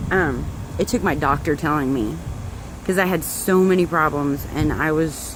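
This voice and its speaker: A woman talks at a moderate pace in a very deep, low pitch. Noticeable background noise runs underneath. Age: 30s. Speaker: direct sales distributor. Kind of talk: personal testimony vlog. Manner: casual, hesitant with many fillers.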